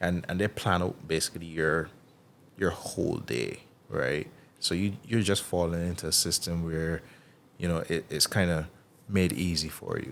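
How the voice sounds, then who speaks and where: A man with a Barbadian accent has a very deep, low pitch and fairly even intonation. He talks at a moderate pace with long, frequent pauses. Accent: Bajan English. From Barbados, Bridgetown. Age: 30s. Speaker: athlete. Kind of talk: casual chat.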